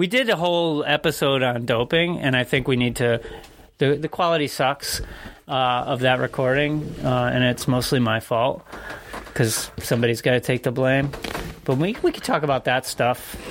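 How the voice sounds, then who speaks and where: A man with an American accent and a plain, everyday voice talks at a moderate pace with a medium pitch and ordinary pitch variation. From Connecticut, US. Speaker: cycling podcast co-host, amateur bike racer. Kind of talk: casual chat. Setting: studio.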